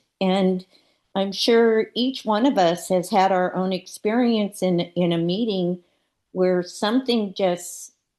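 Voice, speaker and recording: A woman's dark, mellow voice at medium pitch, very slow in pace, with ordinary pitch variation and very even loudness, against a quiet background. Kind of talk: spiritual group sharing. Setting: video call.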